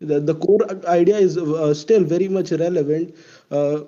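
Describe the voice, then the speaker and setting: A man speaks with an Indian accent in a high voice. His tone is dark and mellow, with fairly even intonation. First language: not English. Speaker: audience member in live discussion. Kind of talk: casual debate in voice chat. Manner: halting, many fillers.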